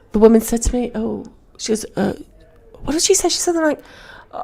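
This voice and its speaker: Over music in the background, a woman talks at a very fast pace with lively intonation. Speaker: comedian and comedy club promoter. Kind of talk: casual chat. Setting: podcast interview.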